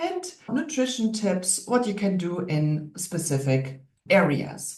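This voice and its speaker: Spoken at a very slow pace in a German accent, the voice makes very wide pitch swings against audible room echo. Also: woman, medium pitch for a woman. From Germany. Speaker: naturopath and wellness coach. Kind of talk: online workshop lecture.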